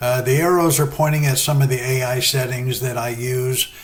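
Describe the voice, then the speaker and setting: A man speaks fairly quickly in a medium pitch with fairly even intonation. Noticeable background noise runs under his voice. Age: 60s. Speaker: sim racing gamer and novelist. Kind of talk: tutorial. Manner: casual, hesitant with fillers.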